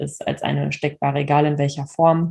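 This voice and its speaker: In a monotone, flat intonation, a woman speaks at a moderate pace. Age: 30s. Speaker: horse owner and social media creator. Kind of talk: personal story in interview.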